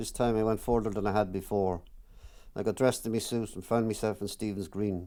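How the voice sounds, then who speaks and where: A man with an Irish accent speaks at a fairly quick pace in a fairly low pitch. His tone is dark and mellow, his intonation monotone and flat. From Ireland. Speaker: author. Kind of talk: reading from own autobiographical book.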